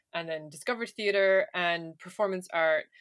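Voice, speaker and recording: In an Irish accent, a woman speaks at a medium pitch. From Ireland. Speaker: podcast co-host. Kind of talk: casual chat.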